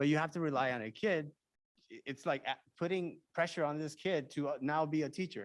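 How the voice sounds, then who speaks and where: A man speaks at a very fast pace, his pitch fairly high. His pitch varies in an ordinary way. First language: Spanish. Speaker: school board member. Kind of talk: public meeting discussion. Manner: halting.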